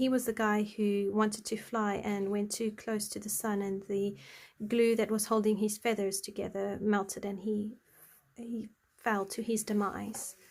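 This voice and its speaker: A woman's medium-pitched, monotone, flat voice in an Afrikaans accent, fairly slow, in a very clean recording with a silent background. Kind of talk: casual, explaining a story.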